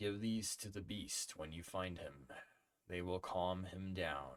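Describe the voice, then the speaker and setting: Using a put-on character voice, a man speaks with a very deep, low pitch. The pace is fairly slow. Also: ordinary pitch variation. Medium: read story.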